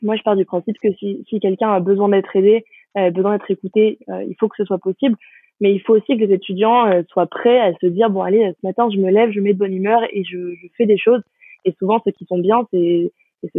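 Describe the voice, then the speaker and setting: A woman with a normal speaking voice talks fairly quickly at a medium pitch, her intonation fairly even but her loudness swinging widely. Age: 20s. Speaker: business school student. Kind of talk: interview.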